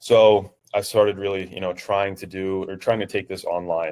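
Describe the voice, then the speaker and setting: A man with a New Jersey accent is heard in a very clean recording with a silent background. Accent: New Jersey American English. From New Jersey, US. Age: 20s. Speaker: online fitness coach. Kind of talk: interview. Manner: hesitant, many fillers.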